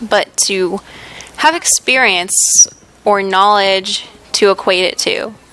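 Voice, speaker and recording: With an American accent, a woman speaks at a very slow pace in a medium pitch against noticeable background noise. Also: long, frequent pauses. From United States. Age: young. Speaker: gaming YouTuber. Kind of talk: let's play commentary. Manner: casual, chatty.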